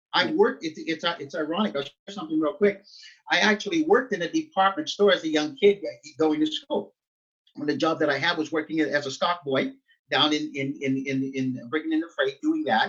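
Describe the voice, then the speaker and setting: A man speaks at a fairly high pitch and a fairly quick pace, with lively intonation. It is an unremarkable speaking voice. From Nova Scotia, Canada (Halifax-Dartmouth). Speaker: pastor. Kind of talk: interview. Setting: video call.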